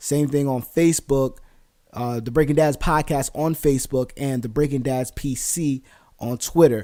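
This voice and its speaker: A man talks with an American accent at a medium pitch. His intonation stays fairly even. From New Jersey. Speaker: podcast host. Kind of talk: casual podcast monologue. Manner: fast; filler-heavy.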